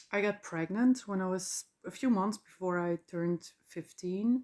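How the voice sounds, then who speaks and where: A woman's fairly low, dark, mellow voice in a Dutch accent, with fairly even intonation at a fairly slow pace. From Flanders, Belgium. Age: 40s. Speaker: podcaster. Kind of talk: personal monologue. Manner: halting.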